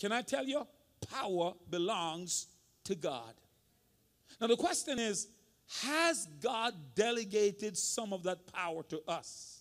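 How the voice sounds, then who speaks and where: A man with a high-pitched voice speaks fairly slowly in an animated tone with lively intonation and long, frequent pauses. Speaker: senior pastor. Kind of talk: sermon. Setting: church.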